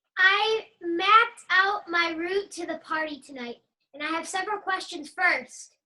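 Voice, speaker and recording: A woman speaks in a put-on character voice at a moderate pace. Her pitch is extremely high. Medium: stage play. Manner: blunt, earnest.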